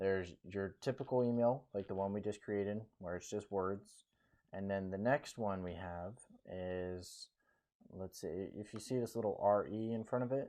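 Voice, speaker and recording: This man has a plain, everyday voice with a fairly low pitch. He keeps a moderate pace and ordinary pitch variation. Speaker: real estate agent. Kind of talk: tutorial.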